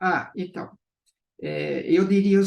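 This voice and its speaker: A man is speaking. His pace is very slow. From Brazil. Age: 70s. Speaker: business owner. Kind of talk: interview. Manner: halting, with repetitions.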